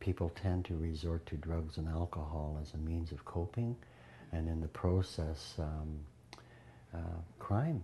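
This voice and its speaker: A man's very deep, low voice, dark and mellow in tone and somewhat breathy, at a fairly slow pace with fairly even intonation. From Canada, British Columbia, Prince George. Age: 60s. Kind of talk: interview. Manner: halting, with fillers.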